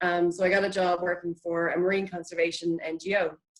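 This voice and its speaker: This woman has a fairly low pitch and speaks with an Irish accent. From Ireland, Dublin. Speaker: marine biology PhD researcher. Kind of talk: online talk.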